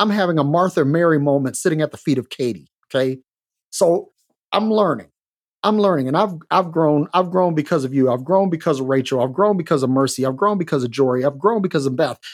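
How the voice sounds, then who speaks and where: At a fairly quick pace, a man talks in an unremarkable speaking voice with a fairly high pitch and ordinary pitch variation. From Detroit, US Midwest (teen years in Minnesota). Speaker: guest co-host. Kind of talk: casual chat.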